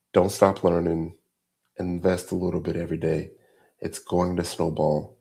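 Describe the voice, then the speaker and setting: At a moderate pace with long, frequent pauses, a man with a very deep, low pitch speaks in a monotone, flat intonation on a very clean recording with a silent background. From US South and Massachusetts (Revere). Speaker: cybersecurity instructor and company founder. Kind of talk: livestream course wrap-up and Q&A. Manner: casual, conversational.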